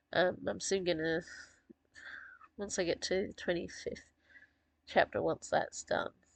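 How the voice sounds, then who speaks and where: A quiet woman's voice at a moderate pace. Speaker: author discussing own characters. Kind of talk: casual monologue. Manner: occasionally goes quiet.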